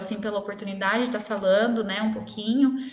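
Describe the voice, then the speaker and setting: A woman speaks at a fairly quick pace in a medium pitch, her intonation flat and monotone, with noticeable background noise and audible room echo. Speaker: dentist. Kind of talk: live stream Q&A talk. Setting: live stream. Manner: fast.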